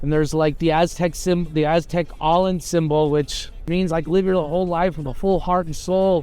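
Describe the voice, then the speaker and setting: With music in the background, a man with a high voice speaks in monotone, flat intonation. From US, Nicaraguan family. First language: Spanish. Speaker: team brand representative. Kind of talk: interview soundbites.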